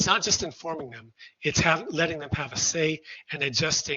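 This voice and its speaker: A man is speaking at a fairly quick pace. His pitch is fairly high. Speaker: sociology researcher. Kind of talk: lecture. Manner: fast.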